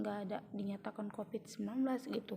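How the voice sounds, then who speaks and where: This voice belongs to a woman. It has a somewhat breathy sound. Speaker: vlogger. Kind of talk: personal testimony. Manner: halting, many fillers.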